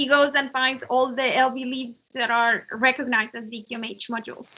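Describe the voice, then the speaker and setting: This woman's pace is moderate. She is the one speaking. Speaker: software engineering presenter. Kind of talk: technical presentation Q&A. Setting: virtual meeting.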